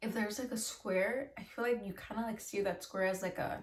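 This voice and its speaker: Here a woman talks at a fairly quick pace. Her pitch variation is ordinary. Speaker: tarot reader. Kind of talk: tarot reading monologue. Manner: fast; casual, filler-heavy.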